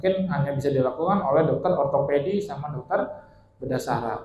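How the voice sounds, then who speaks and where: Audible room echo follows a man speaking at a fairly high pitch. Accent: Bekasi. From Bali, Indonesia. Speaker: orthopedic spine surgeon. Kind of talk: health talk to seniors. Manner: casual, conversational.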